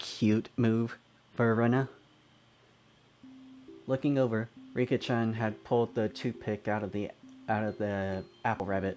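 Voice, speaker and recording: Over music in the background, a man at medium pitch speaks fairly slowly in a monotone, flat intonation with long, frequent pauses. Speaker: let's player. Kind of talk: reading visual novel text aloud. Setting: home microphone, occasional glitching.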